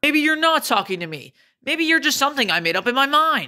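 A high-pitched cartoonish character voice moves at a fairly quick pace. The recording is very clean, with a silent background. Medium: puppet.

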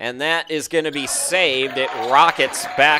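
A man speaks at a fairly slow pace. Noticeable background noise runs behind him. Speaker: sports commentator. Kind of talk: live commentary. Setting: streamed game broadcast. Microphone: headset.

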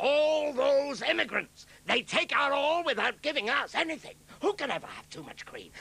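A man uses a cartoonish character voice at an extremely high pitch. He keeps a moderate pace. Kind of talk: British dub of a cartoon. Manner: sneering, demagogic speechmaking.

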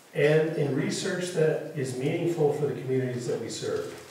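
Strong room echo and light background noise accompany a man speaking at a moderate pace. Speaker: university official introducing lecture. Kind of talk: introductory speech. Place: hall.

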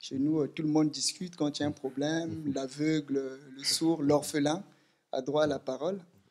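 A man's fairly high voice stays monotone and flat as he talks at a moderate pace. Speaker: political activist. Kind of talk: audience question. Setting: stage with audience. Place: meeting room.

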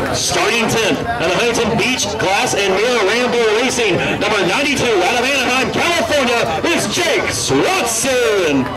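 A man speaks at a fairly slow pace while clear music plays in the background. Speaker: track announcer. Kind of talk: driver introductions. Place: stadium.

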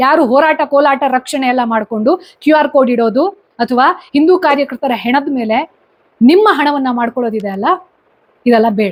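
This woman's voice sits high in pitch. Its rise and fall is ordinary. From Karnataka, Sirsi (Uttara Kannada). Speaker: YouTube commentator. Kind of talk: opinion monologue.

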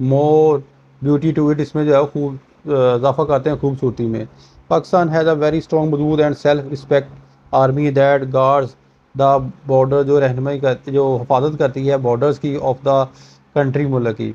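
A dark, mellow tone carries monotone, flat intonation at a fairly slow pace. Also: man, fairly high pitch for a man. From Pakistan. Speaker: teacher. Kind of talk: lecture. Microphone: phone near.

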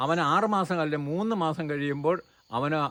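Bright and sharp in tone, a man speaks with a fairly high pitch and ordinary pitch variation. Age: 70s. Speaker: organic farmer and environmental activist. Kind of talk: interview monologue.

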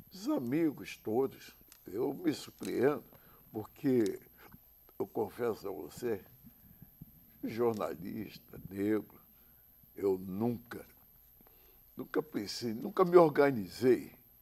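A very slow pace broken by long, frequent pauses. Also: man. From Rio de Janeiro. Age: 80s+. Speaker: veteran radio broadcaster and samba composer. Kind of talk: tribute interview. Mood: warm, reminiscing, often smiling. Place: studio. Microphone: lapel.

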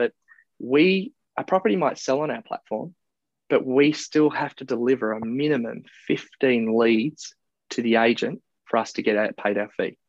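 The sound is dry, with no echo and a quiet background. A man with an Australian accent talks at a moderate pace. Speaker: property marketplace founder. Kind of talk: interview. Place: office. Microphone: earbuds.

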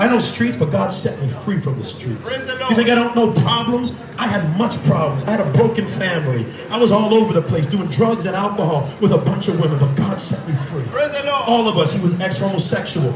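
Against noticeable background noise, a man with a high pitch speaks at a fairly quick pace with very wide pitch swings. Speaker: street preacher. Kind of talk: street preaching, confrontational exchange with a heckler. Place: street. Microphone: handheld.

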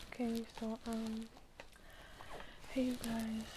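Heard with noticeable background noise, a woman speaks in a dry sound with no echo. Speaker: ASMR creator. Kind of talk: ASMR video. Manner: whispered. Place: home room. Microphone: phone near.

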